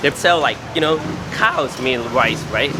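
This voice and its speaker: Over noticeable background noise, a man with a fairly high voice speaks at a fairly slow pace with lively intonation. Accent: Thai. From Bangkok, Thailand. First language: Thai. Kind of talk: casual food vlog talk to camera.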